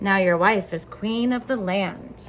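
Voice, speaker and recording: A woman speaks in a put-on character voice at a medium pitch and a fairly slow pace. Background noise is clearly audible. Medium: read story.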